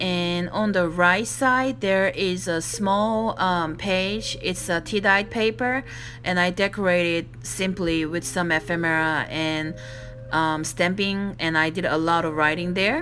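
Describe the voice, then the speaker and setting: A woman with a non-native accent speaks at a fairly slow pace and fairly low pitch, with ordinary pitch variation. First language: non-native English speaker. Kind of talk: craft flip-through voice-over.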